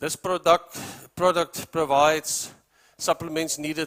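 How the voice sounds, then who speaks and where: A man with a South African accent speaks at a fairly slow pace and fairly high pitch, in a dry, close sound with no echo. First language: Afrikaans. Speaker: animal feed company representative. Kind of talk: presentation to farmers.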